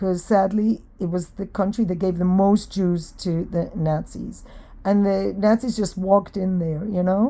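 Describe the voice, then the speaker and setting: In an American accent, a woman speaks at a fairly slow pace with a dark, mellow tone, medium pitch and fairly even intonation. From Israel. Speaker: vlogger. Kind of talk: casual monologue. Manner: hesitant, with fillers.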